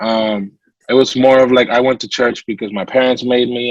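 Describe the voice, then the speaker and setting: With a Latin American accent, a man talks at a fairly quick pace. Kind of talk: interview testimony.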